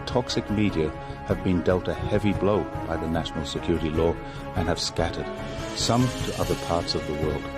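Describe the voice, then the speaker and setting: Music plays in the background. A man talks at a moderate pace with lively intonation. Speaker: voice-over narrator. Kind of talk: political documentary narration.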